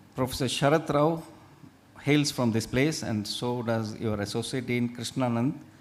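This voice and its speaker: A man with an Indian accent, medium pitch, ordinary pitch variation and a moderate pace. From India, Udupi region (coastal Karnataka). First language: Tulu. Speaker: faculty speaker at medical college orientation. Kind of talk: presentation to new students.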